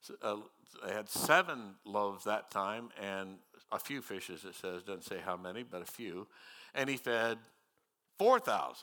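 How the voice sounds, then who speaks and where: With a Midwestern American accent, a man speaks in a bright, sharp tone. His intonation is lively. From US Midwest, northwest Missouri. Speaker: retired pastor. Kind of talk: sermon. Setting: church.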